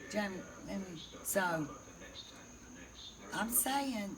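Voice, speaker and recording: A woman speaks at a medium pitch in a Southern US accent, her tone animated. The room has audible echo and noticeable background noise. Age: 60s. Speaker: storyteller. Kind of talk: casual chat.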